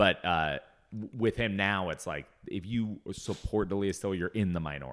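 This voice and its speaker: Here is a man with an ordinary speaking voice and an American accent. He speaks at a moderate pace. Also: fairly low pitch for a man, ordinary pitch variation. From US Pacific Northwest, Seattle. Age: 30s. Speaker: comedian. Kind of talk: casual chat.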